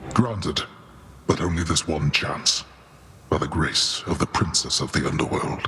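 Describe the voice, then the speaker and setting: Over clear background noise, a man uses a put-on character voice with a very deep, low pitch, ordinary pitch variation and a moderate pace. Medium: video game. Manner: commanding, regal.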